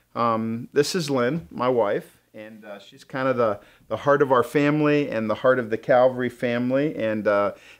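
Over a quiet background, a man's pitch rises and falls in an ordinary way as he speaks at a moderate pace. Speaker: church pastor hosting. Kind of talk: casual welcome talk to viewers. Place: studio.

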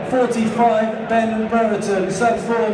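The recording carries audible room echo along with noticeable background noise. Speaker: stadium announcer. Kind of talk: announcement of team lineups. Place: stadium. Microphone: pa.

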